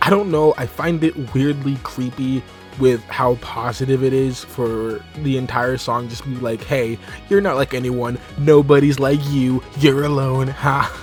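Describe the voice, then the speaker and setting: Music plays in the background as the speaker talks at a fairly slow pace with ordinary pitch variation. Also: man, medium pitch for a man. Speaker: voice actor. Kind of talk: casual review talk to camera.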